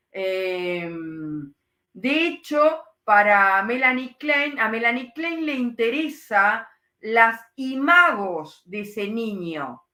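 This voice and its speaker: A woman's fairly high, bright, sharp voice at a very slow pace, with very wide pitch swings, big swings in loudness and audible room echo. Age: 60s. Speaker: psychoanalyst. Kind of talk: lecture with live Q&A. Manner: hesitant, many fillers.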